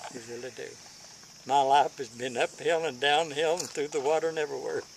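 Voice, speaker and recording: A man with an Appalachian accent speaks in a fairly high pitch over noticeable background noise. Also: fairly even intonation, fairly quick pace. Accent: Appalachian Kentucky. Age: 80s+. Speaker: elderly storyteller. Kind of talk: casual chat.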